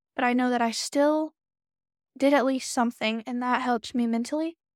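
This woman speaks at a moderate pace. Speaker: podcast host. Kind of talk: solo podcast monologue. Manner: casual, filler-heavy.

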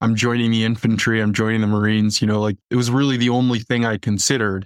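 A man with an American accent talks at a very fast pace in a fairly low, monotone voice with flat intonation. The sound is dry and close with no echo, and the recording is very clean with a silent background. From US Midwest, northern Illinois. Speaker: Marine combat veteran, veterans nonprofit manager. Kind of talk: interview.

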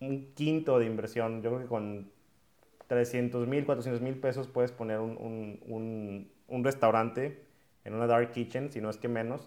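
A man's unremarkable speaking voice, medium in pitch, at a fairly slow pace. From Mexico, Monterrey. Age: 20s. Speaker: entrepreneur and podcast host. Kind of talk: talk to students. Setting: video call.

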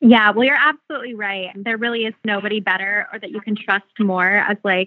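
A woman with an American accent uses an ordinary speaking voice with fairly even intonation. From Phoenix, Arizona. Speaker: beauty brand founder. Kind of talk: interview.

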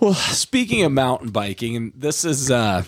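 The speech moves at a moderate pace. Its pitch rises and falls very widely. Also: man, very clean recording, silent background. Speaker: podcast co-host. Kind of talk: casual chat.

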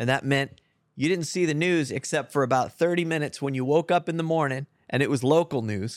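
An unremarkable speaking voice from a man, fairly high in pitch with ordinary variation, at a fairly quick pace. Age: 50s. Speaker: podcast host. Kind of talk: casual chat. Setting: on location at a farm.

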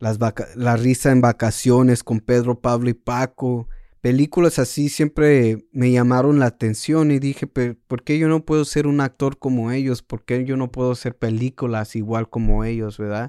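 A man's dark, mellow voice at medium pitch, fairly quick and fairly even in intonation, dry and close with no echo on a very clean recording with a silent background. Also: hardly any pauses. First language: Spanish. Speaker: podcast host. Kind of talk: casual monologue.

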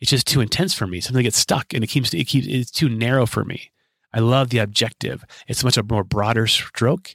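A man with a plain, everyday voice speaks at a fairly quick pace and medium pitch, with ordinary pitch variation. The very clean recording has a silent background and a dry, close sound with no echo. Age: 40s. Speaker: podcast host, life coach. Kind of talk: solo monologue.

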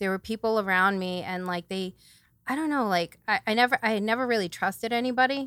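With an American accent and a bright, sharp tone, a woman talks on a very clean recording with a silent background. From New Bedford, Massachusetts. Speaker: hairdresser sharing testimony. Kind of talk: testimony.

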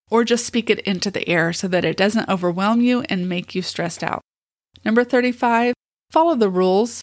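A woman with a normal speaking voice and a fairly high pitch speaks at a moderate pace with lively intonation, on a very clean recording with a silent background. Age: 50s. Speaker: special education teacher and podcast host. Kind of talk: solo podcast monologue, tips list. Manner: casual, conversational.

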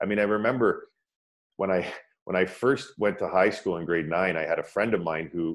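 A man in a Canadian accent talks with a normal speaking voice, fairly low pitch, ordinary pitch variation and a moderate pace. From Ontario, Canada (Scarborough/Pickering, Toronto area). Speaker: former pro ice hockey player, meditation teacher. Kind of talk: interview, personal story.

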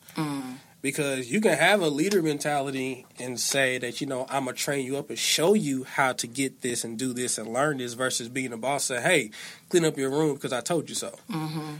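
A man with a normal speaking voice at a fairly high pitch, with ordinary pitch variation and a fairly quick pace. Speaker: guest, father. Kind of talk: casual chat.

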